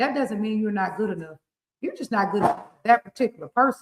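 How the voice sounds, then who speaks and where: This woman speaks with an American accent. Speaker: relationship coach and show host. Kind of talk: casual chat. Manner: animated.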